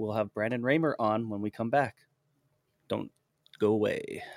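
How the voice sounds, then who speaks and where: A man with an American accent talks at a moderate pace in fairly even intonation, in a normal speaking voice, on a very clean recording with a silent background. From US, central Pennsylvania. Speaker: podcast host. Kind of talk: interview.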